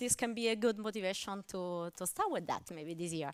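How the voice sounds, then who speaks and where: A woman with an Italian accent, a bright, sharp tone, lively intonation and a fairly quick pace, in a dry, close sound with no echo. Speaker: mathematics lecturer. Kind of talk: lecture. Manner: hesitant, with fillers.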